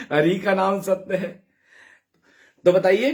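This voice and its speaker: A man talks loudly in an animated tone, his voice pitched high. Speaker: devotional live streamer. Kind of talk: casual live chat reading comments.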